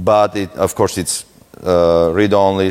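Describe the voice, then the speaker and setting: Speaking very slowly, a man with a Russian accent keeps his intonation fairly even. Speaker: security researcher, conference speaker. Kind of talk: conference talk.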